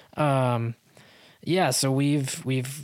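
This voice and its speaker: With an American accent, a man speaks at a medium pitch in an unremarkable speaking voice with fairly even intonation, in a very clean recording with a silent background. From US West (Utah). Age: 30s. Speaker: drummer and musician. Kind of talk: casual interview conversation.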